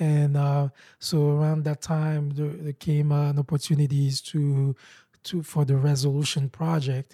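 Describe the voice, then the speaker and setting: In a very clean recording with a silent background and a dry, close sound with no echo, a man with a fairly high pitch speaks at a fairly slow pace in a dark, mellow, somewhat breathy tone, his intonation monotone and flat. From Haiti. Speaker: nonprofit founder. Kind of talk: interview. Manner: halting.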